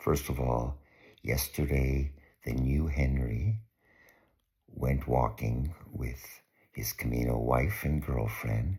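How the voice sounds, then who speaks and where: A man whispering, somewhat breathy, at a very slow pace with long, frequent pauses. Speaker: pilgrimage vlogger. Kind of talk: casual video diary.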